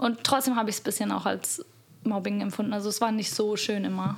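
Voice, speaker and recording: A woman with an unremarkable speaking voice talks at a fairly quick pace. Her intonation stays fairly even. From Bavaria, Munich. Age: 20s. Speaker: podcast guest. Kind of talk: casual chat. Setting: at the host's home. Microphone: too far from the mic at first.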